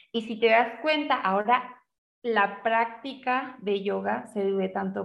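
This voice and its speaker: The speaker is a woman with a medium pitch. She talks very slowly. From Chile, Santiago. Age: 30s. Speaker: yoga teacher. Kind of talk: interview.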